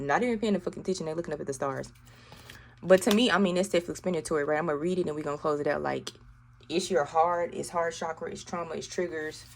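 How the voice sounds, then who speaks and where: A woman with a strong Southern US accent speaks at a very fast pace in a fairly low pitch with ordinary pitch variation. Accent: thick Southern US. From US South, Arkansas. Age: 30s. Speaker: tarot reader. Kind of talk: tarot reading to camera. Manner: animated.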